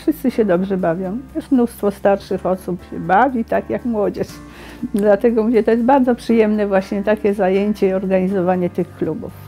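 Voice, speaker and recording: With music in the background, a woman with a Polish accent speaks at a moderate pace and medium pitch, using ordinary pitch variation. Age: old. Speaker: retiree. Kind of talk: interview answer.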